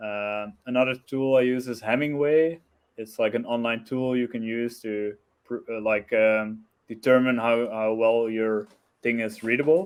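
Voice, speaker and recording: A man speaks with a non-native accent. His pitch is medium. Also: fairly slow pace. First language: not English. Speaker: blogger, web developer. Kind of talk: interview. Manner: hesitant, many fillers.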